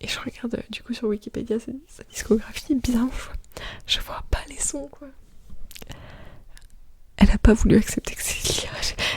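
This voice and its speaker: A woman whispers in a relaxed tone at a moderate pace, with big swings in loudness and long, frequent pauses over noticeable background noise. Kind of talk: ASMR soft spoken chatting. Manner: soft-spoken, relaxed, casual.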